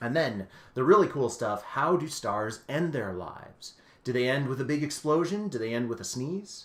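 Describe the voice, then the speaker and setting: This man's voice sits fairly high in pitch. It moves through very wide pitch swings. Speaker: astronomer and science communicator. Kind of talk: live-streamed educational talk for kids. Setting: live stream. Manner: fast; animated.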